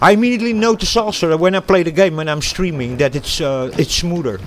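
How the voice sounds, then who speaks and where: This man talks with lively intonation. Noticeable background noise runs under his voice. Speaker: gaming streamer. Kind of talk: casual gameplay livestream commentary. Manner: hesitant, many fillers.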